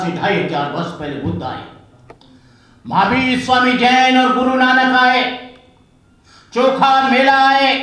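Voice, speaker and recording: A man's raised, projected voice at an extremely high pitch, with audible room echo and noticeable background noise. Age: 70s. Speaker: Buddhist monk. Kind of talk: public speech.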